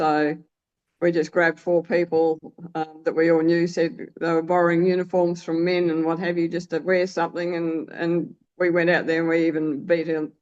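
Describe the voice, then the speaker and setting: An Australian accent marks this woman's fairly quick speech. Her pitch is fairly low and her intonation is monotone and flat. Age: 70s. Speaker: masters sprinter. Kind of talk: interview. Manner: halting.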